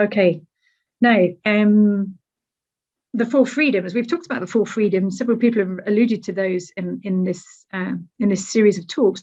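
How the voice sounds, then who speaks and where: A woman with a British accent speaks in a dark, mellow, somewhat breathy voice at a medium pitch. She leaves long, frequent pauses against a quiet background. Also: ordinary pitch variation, moderate pace. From Britain. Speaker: academic speaker. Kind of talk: lecture. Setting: webinar. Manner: conversational, frequent fillers.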